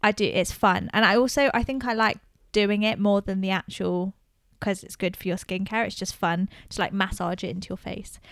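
In a very clean recording with a silent background, a woman talks at a fairly quick pace with a medium pitch and fairly even intonation. She has an ordinary speaking voice, and her loudness swings widely. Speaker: podcast host. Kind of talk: casual chat.

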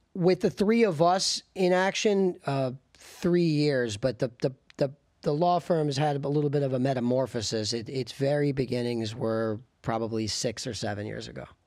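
At a moderate pace, a man with an ordinary speaking voice and a fairly high pitch speaks with lively intonation. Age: 30s. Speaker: trial lawyer. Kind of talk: interview.

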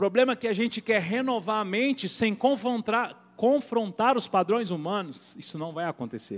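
At a moderate pace with hardly any pauses, a man with a high pitch talks in big swings of loudness and ordinary pitch variation. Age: 40s. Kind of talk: sermon.

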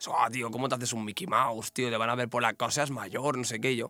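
A man's plain, everyday voice at a medium pitch, with a moderate pace and fairly even intonation. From Catalonia, Spain. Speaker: tattoo artist. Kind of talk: casual chat.

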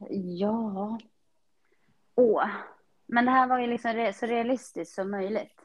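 A woman's fairly high voice at a very slow pace, with ordinary pitch variation and long, frequent pauses. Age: 30s. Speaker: podcast co-host, HR worker and pilates studio owner. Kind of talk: casual chat.

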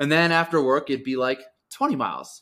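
Here a man speaks in a bright, sharp tone with an American accent. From Connecticut, US. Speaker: business coach for fitness coaches. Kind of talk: podcast interview. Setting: remote call.

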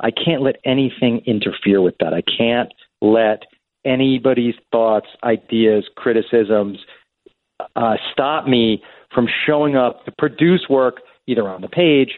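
Using a plain, everyday voice, a man talks at medium pitch and a fairly slow pace with ordinary pitch variation. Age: 50s. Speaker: screenwriter and TV producer. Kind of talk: interview.

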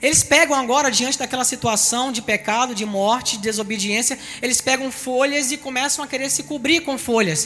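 A man with an extremely high pitch speaks in a raised, projected voice at a fairly quick pace over noticeable background noise. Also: ordinary pitch variation. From Bahia, Salvador. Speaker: pastor. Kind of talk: sermon.

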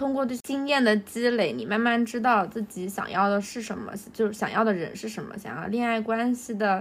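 A woman with an unremarkable speaking voice, fairly high pitch, ordinary pitch variation and a fairly quick pace with hardly any pauses. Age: 30s. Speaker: podcast co-host. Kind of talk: casual chat.

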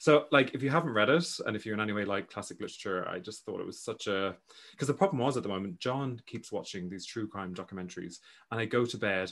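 Talking at a very fast pace, a man with an Irish accent uses a fairly low pitch and ordinary pitch variation. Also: quiet background. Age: 30s. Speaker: podcast host. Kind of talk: casual chat.

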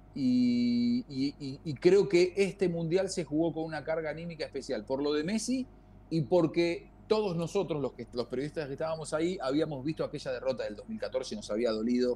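A man with a Rioplatense accent speaks at a moderate pace, his pitch fairly high. His tone is dark and mellow, with lively intonation. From Argentina. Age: 50s. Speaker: football commentator. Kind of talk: casual chat.

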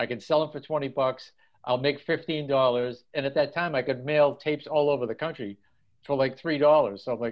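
A man with a Boston accent speaks at a fairly quick pace and fairly high pitch, with fairly even intonation. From Dorchester, Boston. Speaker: punk musician. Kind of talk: casual interview.

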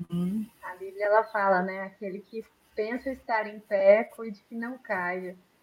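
A normal speaking voice with fairly even intonation and big swings in loudness. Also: woman, medium pitch for a woman, fairly slow pace. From Brazil, Campo Grande. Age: 30s. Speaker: nutrition student, guest on faith talk show. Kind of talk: casual chat.

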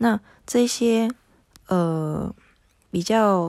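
A woman with a Japanese accent has a dark, mellow tone. The recording is very clean with a silent background, and the sound is dry and close with no echo. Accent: Japanese-accented Mandarin. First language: Japanese (speaking Chinese). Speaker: podcaster, homeschooling mother. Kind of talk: casual monologue. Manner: halting, many fillers.

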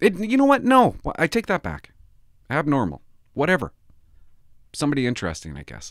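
A man with a western Canadian accent talks at a fairly quick pace. He pauses long and often, and his loudness swings widely. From Port Alberni, British Columbia, Canada. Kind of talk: casual comedic rant with live call-in. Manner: animated, joking, profane.

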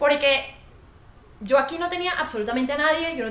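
Spoken at a fairly quick pace with ordinary pitch variation, the voice comes through noticeable background noise and audible room echo. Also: woman. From Venezuela, Caracas. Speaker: podcast co-host. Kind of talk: casual chat. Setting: home studio.

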